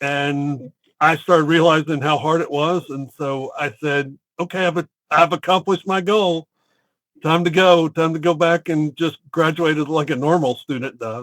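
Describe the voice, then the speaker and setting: At a moderate pace, a man with a Southern US accent speaks with fairly even intonation, recorded dry and close with no echo. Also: fairly high pitch for a man. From US South, Chattanooga, Tennessee. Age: 50s. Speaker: real estate entrepreneur. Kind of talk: interview.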